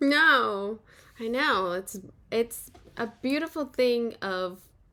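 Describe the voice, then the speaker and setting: A woman with an American accent speaks at a very slow pace. Her fairly high voice has a bright, sharp tone and lively intonation. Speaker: podcast host. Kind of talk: interview conversation.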